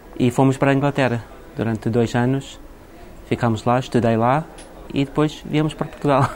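Fairly quick speech with fairly even intonation, very even loudness and long, frequent pauses, over noticeable background noise. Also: man, medium pitch for a man. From Iraq, later England. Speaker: shop owner. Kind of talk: interview.

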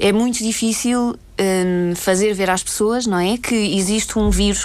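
At a moderate pace and with fairly even intonation, a woman speaks in an unremarkable speaking voice. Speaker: former volunteer aid worker. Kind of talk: radio interview.

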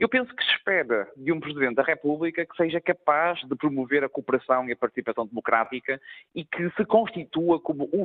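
With a normal speaking voice, a man of fairly high pitch talks at a fairly quick pace with lively intonation and hardly any pauses. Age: young. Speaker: member of parliament. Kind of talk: radio interview.

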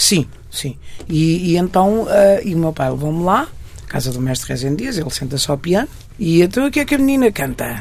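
The speech moves at a moderate pace with long, frequent pauses and very wide pitch swings. Noticeable background noise runs underneath. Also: woman, fairly low pitch for a woman. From Portugal, Marinha Grande and Porto. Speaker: fado singer. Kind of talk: interview. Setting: radio studio. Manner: halting.

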